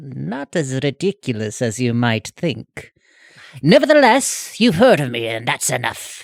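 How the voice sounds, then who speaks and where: The voice is a put-on character at a low-to-middle pitch. It moves at a moderate pace. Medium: actual play. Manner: pompous, grandiose.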